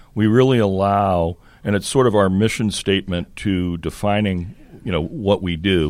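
An unremarkable speaking voice from a man, fairly low in pitch and at a fairly slow pace. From US Northeast, Connecticut. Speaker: club corporate sales representative. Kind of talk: casual interview. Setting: studio.

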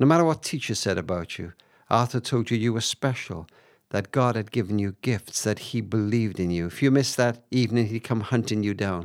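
A man talks at a fairly quick pace and medium pitch with ordinary pitch variation. The recording is very clean, with a silent background. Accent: Cardiff. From Cardiff, Wales. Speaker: author and charity founder. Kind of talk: interview conversation, storytelling. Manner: hesitant, reflective.

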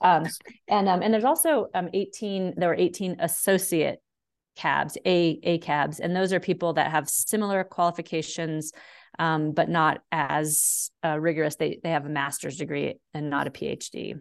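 Against a quiet background, a woman with an unremarkable speaking voice talks at a moderate pace in a fairly low pitch, her intonation fairly even. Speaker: dog behaviorist and author. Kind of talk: casual interview chat.

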